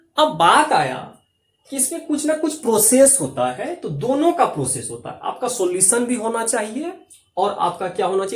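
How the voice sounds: A man speaks at a fairly quick pace. His pitch swings in big arcs.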